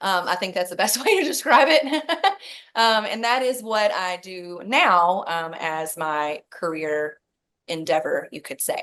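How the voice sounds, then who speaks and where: In a Kentucky accent, a woman speaks at a fairly slow pace and medium pitch, with a bright, sharp tone. Her pitch swings very widely and her loudness swings a lot, over a quiet background. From Kentucky, Louisville. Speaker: network marketing director, former nurse. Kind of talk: podcast interview.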